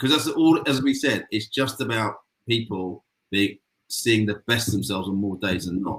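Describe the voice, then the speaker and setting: A British accent comes through. The delivery moves at a moderate speed. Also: man. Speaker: agency president. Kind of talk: panel discussion. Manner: mumbling; halting.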